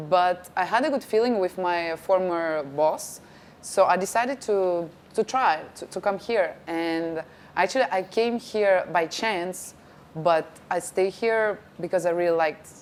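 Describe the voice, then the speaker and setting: A woman with a Russian accent speaks at a fairly slow pace and medium pitch, with ordinary pitch variation. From Russia, then France from age ten. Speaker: actress and TV presenter. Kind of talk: interview.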